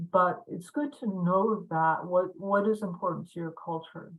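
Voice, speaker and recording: Her pitch is fairly low for a woman, with ordinary variation. She speaks at a fairly slow pace. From Pine Ridge Reservation, South Dakota (Lakota). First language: Lakota. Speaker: university language instructor. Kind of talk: lecture. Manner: halting, many fillers.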